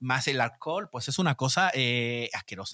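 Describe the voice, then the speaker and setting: A man talks at a moderate pace in a bright, sharp tone, fairly high in pitch with lively intonation. The sound is dry and close with no echo, and the recording is very clean with a silent background. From Chile. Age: 40s. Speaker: Chilean expat in Spain. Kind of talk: casual chat.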